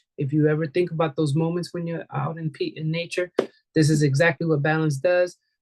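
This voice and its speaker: A woman's fairly low voice at a fairly quick pace. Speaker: wellness class leader, essential oils seller. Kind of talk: online class presentation. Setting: video call. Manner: halting, repeats words.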